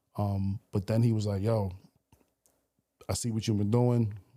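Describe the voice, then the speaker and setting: In a New York accent, a man with a fairly low pitch and a dark, mellow tone speaks in a monotone, flat way, captured in a very clean recording with a silent background. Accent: New York (Bronx). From New York, the Bronx. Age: 40s. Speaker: radio DJ. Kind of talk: casual chat.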